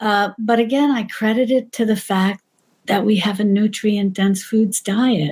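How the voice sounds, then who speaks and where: Somewhat breathy and fairly high in pitch, a woman with an American accent talks at a fairly slow pace, her intonation fairly even and her loudness very even. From New York. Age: 60s. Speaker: cooking channel creator. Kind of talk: casual interview chat.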